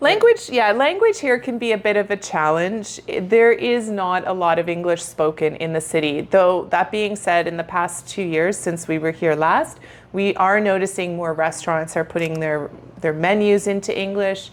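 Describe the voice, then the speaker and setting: With a Canadian accent, a woman has an ordinary speaking voice, a moderate pace and ordinary pitch variation. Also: medium pitch for a woman. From Canada. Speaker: travel and retirement vlogger. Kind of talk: casual chat.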